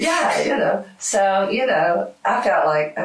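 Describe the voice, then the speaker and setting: Amid audible room echo, a woman with an American accent talks at a very slow pace. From United States. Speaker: musician. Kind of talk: interview answer. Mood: reflective, warm, personal. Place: studio.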